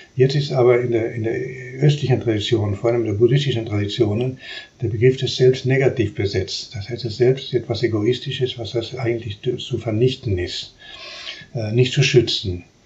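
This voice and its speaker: Noticeable background noise accompanies a man speaking at a moderate pace in a medium pitch with fairly even intonation. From Uruguay. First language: Spanish (speaking German). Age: 70s. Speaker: philosophy professor. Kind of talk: interview. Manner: halting.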